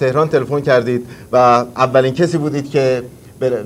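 Pitched fairly high, a man talks at a fairly quick pace. His intonation is fairly even, with light background noise. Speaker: call-in TV and radio host; radio host. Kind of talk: live call-in show. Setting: studio in Washington. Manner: formal and courteous. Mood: warm, celebratory. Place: studio.

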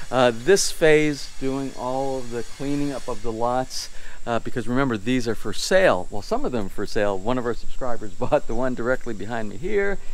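With hardly any pauses, a man talks at a moderate pace with lively intonation in a dry sound with no echo. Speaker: home builder vlogger. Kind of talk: casual vlog chat. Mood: cheerful, laughing. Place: home room. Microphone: phone near.

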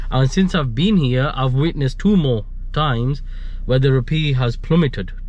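A man speaks at a moderate pace. The recording is dry, with no echo. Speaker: vlogger. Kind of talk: casual vlog chat. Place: car. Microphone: phone near.

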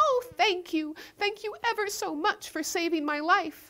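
A woman uses a squeaky put-on character voice at an extremely high pitch, speaking at a moderate pace. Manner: grateful.

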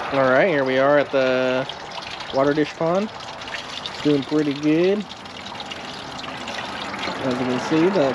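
A man's voice sounds dry and free of echo amid loud background noise. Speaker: tortoise keeper vlogger. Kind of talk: casual vlog chat. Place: garden. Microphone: phone near.

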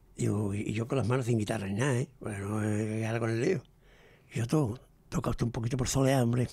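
A man speaks very fast with long, frequent pauses, his dark, mellow tone somewhat breathy and his pitch varying in an ordinary way. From El Puerto de Santa María, Andalusia, Spain. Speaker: veteran flamenco guitarist. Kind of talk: interview storytelling. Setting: radio studio. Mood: lively anecdotal storytelling. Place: studio. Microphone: studio mic.

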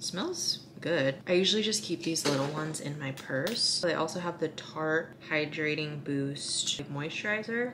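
A woman talks with lively intonation and few pauses, her voice low-pitched and fairly bright in tone. Faint background noise can be heard. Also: fairly slow pace.

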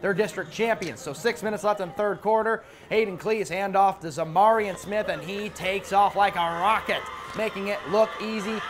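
A man speaks in an energetic tone at a fairly quick pace, with a high pitch and ordinary pitch variation. Light background noise is present. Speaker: sports reporter. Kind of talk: sports commentary narrating game highlights. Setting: TV studio. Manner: energetic, brisk play-by-play. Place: studio.

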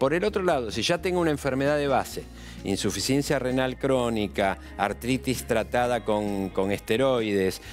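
A man talks at a fairly slow pace while faint music plays in the background. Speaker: TV guest. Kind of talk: explanatory interview answer. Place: studio.

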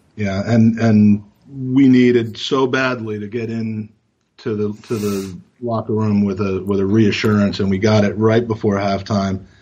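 With an American accent, a man in a plain, everyday voice talks at a fairly slow pace, his pitch fairly low and his intonation fairly even. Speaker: football podcast co-host. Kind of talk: casual chat.

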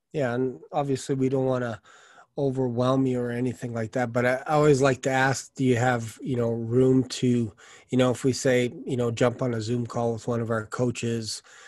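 Against a quiet background, a man talks at a moderate pace in a flat monotone, the sound dry with no echo. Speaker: sales coach. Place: home room. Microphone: studio mic.

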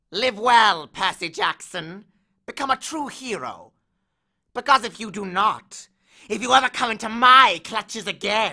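In a put-on character voice that sounds female, the speaker cackles at a fairly high pitch and a moderate pace. The recording is very clean, with a silent background. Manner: threatening, cackling.

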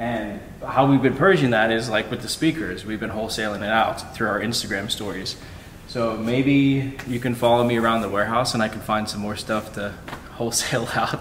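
Audible room echo and light background noise surround a man's voice. He talks at a fairly quick pace with fairly even intonation. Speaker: reseller vlogger. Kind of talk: casual vlog chat. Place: factory. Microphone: phone near.

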